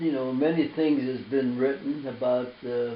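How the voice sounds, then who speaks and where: Someone with an American accent speaks at a fairly slow pace amid audible room echo and noticeable background noise. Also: man. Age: 90s. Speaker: war veteran. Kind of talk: interview. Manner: halting.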